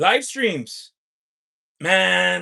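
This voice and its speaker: A man's raised, projected voice, bright and sharp in tone, dry and close with no echo. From US, California. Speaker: lottery scratcher livestreamer. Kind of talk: livestream chat with viewers. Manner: loud; animated, hyped.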